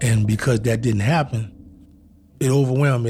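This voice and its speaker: A man speaks at a medium pitch with fairly even intonation. His voice is somewhat breathy, with a dark, mellow tone. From New Orleans, Louisiana. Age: 40s. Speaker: wrongfully accused interviewee. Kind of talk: testimony.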